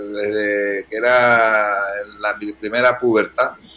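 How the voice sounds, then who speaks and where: A man speaks in a Canarian accent. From Canary Islands. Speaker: restaurant owner. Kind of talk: interview.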